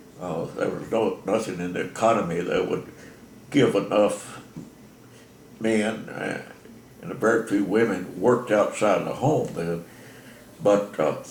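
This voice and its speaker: A man with an American accent and a fairly low pitch talks at a fairly slow pace, with audible room echo. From Texas, Bell County. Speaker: elderly interviewee sharing life story. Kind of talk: oral history interview. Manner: halting, many fillers.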